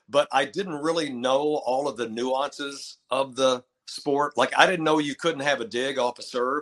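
A man with a West Texas accent speaks at a fairly slow pace with hardly any pauses, his fairly high voice showing ordinary pitch variation in a dry, close sound with no echo. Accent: West Texas American. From Texas, Lubbock. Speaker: retired basketball play-by-play announcer, teacher. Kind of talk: casual interview chat.

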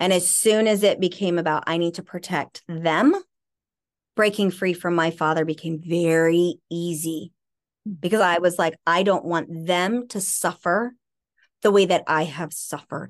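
A woman with an ordinary speaking voice talks at a fairly slow pace, her fairly low pitch held in fairly even intonation. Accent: American. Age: 40s. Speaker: author and trauma recovery expert. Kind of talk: interview about personal abuse history.

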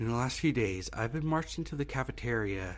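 A man speaks rather quickly, his intonation lively, with music playing behind him. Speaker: horror story narrator. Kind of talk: scripted horror story narration, read aloud. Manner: grave, measured, somber.

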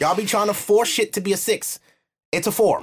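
On a very clean recording with a silent background, a man with a slightly husky edge talks at a high pitch with ordinary pitch variation. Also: moderate pace.

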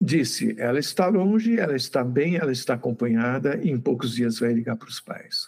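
With lively intonation and an unremarkable speaking voice, a man speaks at a moderate pace. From Brazil, São Paulo state (Santos). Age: 60s. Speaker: physicist and YouTube channel host. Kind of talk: interview.

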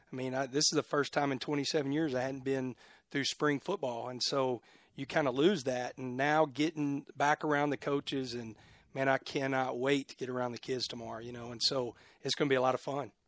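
A man with a Texan accent speaks at a fairly quick pace, medium in pitch and with fairly even intonation. The sound is dry and close with no echo, on a very clean recording with a silent background. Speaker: football coach. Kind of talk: casual interview.

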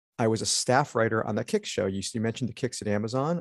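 A man with an American accent speaks in an unremarkable speaking voice at a medium pitch with ordinary pitch variation, recorded dry and close with no echo against a quiet background. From Connecticut, US Northeast. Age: 50s. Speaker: TV writer and showrunner. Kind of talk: casual interview.

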